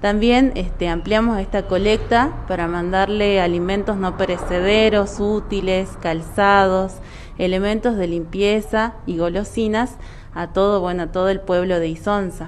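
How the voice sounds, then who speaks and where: A woman at a medium pitch, with fairly even intonation and a fairly slow pace, amid audible room echo and noticeable background noise. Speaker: physiotherapist volunteer. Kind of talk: interview.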